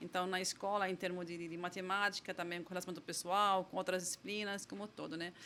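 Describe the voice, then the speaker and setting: A woman talks at a very fast pace with hardly any pauses, her medium-pitched voice bright and sharp in tone but monotone and flat in intonation. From Lebanon, rural village. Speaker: tech company founder and CEO. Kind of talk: podcast interview. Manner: halting, many repeated words and fillers.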